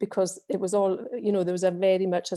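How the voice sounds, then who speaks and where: A woman speaks with a Hebridean accent at a moderate pace, her dark, mellow tone delivered in a flat monotone. The recording is very clean, with a silent background. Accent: Hebridean Scottish. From Scotland, Western Isles (Scalpay, Harris). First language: Scottish Gaelic. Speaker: churchgoer giving testimony. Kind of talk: testimony.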